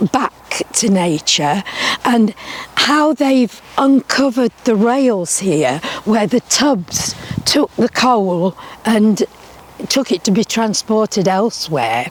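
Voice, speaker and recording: A woman speaks very slowly at a fairly high pitch with lively intonation and very even loudness. The sound is dry and close with no echo, with noticeable background noise. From Derbyshire, England (early childhood in Barnsley, Yorkshire). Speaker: retired teacher, miner's daughter. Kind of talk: oral history interview. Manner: hesitant with fillers.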